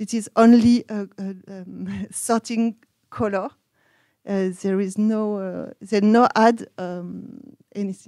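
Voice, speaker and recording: A woman in a French accent, medium pitch and a dark, mellow tone, monotone and flat, very slow, with big swings in loudness and a dry, close sound with no echo. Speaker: researcher. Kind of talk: conference presentation. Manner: halting.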